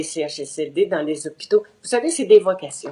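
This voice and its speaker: A woman's dark, mellow tone moves with lively intonation at a fairly slow pace. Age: 80s+. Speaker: seniors' advocate. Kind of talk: interview. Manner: halting.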